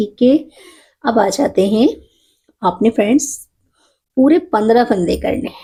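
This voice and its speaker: A woman with a dark, mellow tone and fairly high pitch speaks with long, frequent pauses and big swings in loudness. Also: ordinary pitch variation. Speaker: knitting instructor. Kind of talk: tutorial. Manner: slow, counting stitches aloud.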